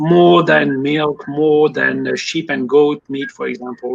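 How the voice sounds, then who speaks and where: A man with a fairly high voice talks at a fairly slow pace with a French accent. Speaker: poultry industry consultant. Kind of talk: interview. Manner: some fillers, mostly fluent.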